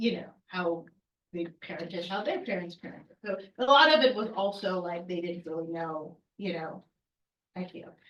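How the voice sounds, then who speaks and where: A woman with a non-native accent speaks at a moderate pace and medium pitch, with ordinary pitch variation. Her loudness swings widely, and she takes long, frequent pauses. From Lebanon. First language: not English. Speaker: aspiring author in a coaching group. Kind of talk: group discussion. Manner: halting.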